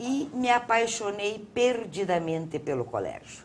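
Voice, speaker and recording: This woman talks very slowly. Her voice swings through a very wide pitch range. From Paraná coast, Brazil (Antonina), then Curitiba. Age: 70s. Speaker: theatre figure. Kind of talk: interview.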